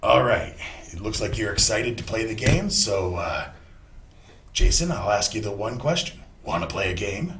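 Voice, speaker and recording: A man puts on a raspy character voice at a medium pitch, speaking at a moderate pace with long, frequent pauses. An echo is audible. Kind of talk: parody TV game show hosting. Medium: comedy sketch. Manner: showy, jokey.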